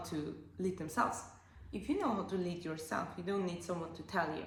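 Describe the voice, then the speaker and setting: With an Austrian accent, this voice comes through over noticeable background noise and audible room echo. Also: woman. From Austria, Alpine village. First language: German. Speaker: life coach and podcast host. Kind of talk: casual monologue podcast. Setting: at home on couch. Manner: animated.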